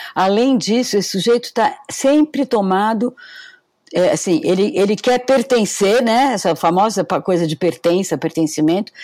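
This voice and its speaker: A woman speaks at a moderate pace, with a medium pitch and a dark, mellow tone. Her intonation is lively and her loudness very even. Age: 70s. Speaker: professor. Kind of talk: casual interview.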